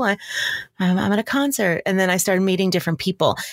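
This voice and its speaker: A woman talks very fast with an American accent at a medium pitch. The sound is dry and close, with no echo. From New York, Long Island. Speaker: voiceover artist and audio producer. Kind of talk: interview.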